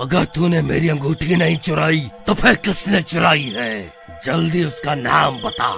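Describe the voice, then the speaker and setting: Clear music plays in the background as a man speaks in a cartoonish character voice. His pitch is fairly high and his pace fairly slow. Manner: menacing, threatening.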